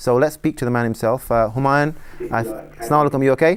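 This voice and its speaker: A man speaks with a West Yorkshire accent and fairly even intonation. The recording is very clean, with a silent background. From northern England, Bradford. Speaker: sports talk show host. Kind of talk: TV talk show. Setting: studio.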